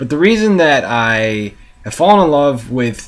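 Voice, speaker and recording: A man speaks with an American accent at medium pitch. His pace is moderate and his pitch swings very widely. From United States. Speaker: vlogger, soccer fan. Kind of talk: casual monologue vlog. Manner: hesitant, many fillers.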